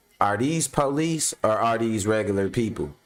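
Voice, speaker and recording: Music plays in the background as a man speaks at a moderate pace with an American accent. His medium pitch moves with lively intonation. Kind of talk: casual.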